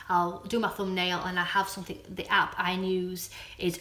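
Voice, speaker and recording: A woman speaks with a Yorkshire accent. The room gives an audible echo. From Doncaster, South Yorkshire, northern England. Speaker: vlogger. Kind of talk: casual chat. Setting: live stream. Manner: halting.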